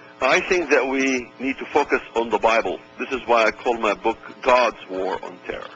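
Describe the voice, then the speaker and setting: With music in the background, a man with an Arabic accent speaks at a moderate pace and medium pitch, with ordinary pitch variation. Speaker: author and speaker. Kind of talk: radio interview.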